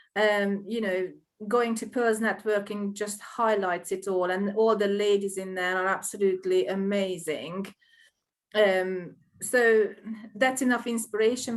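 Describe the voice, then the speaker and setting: A woman speaks at medium pitch and a fairly slow pace in a Hungarian accent. Her intonation is monotone and flat. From Hungary. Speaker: small business owner. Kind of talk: interview. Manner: halting.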